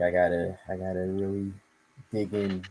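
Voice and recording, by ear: A man speaks at a low pitch with a dark, mellow tone and little pitch movement. Audible room echo surrounds the voice. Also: moderate pace.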